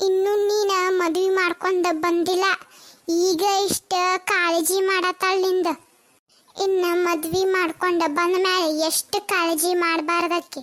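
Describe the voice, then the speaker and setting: A cartoonish character voice speaks at a very slow pace with monotone, flat intonation. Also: woman, extremely high pitch for a woman, very even loudness. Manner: blunt, chatty.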